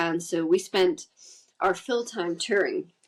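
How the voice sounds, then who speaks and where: In a Northern Irish accent, a woman speaks fairly slowly at a medium pitch on a very clean recording with a silent background. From Northern Ireland, Carrickfergus near Belfast. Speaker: musician and podcast guest. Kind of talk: interview conversation.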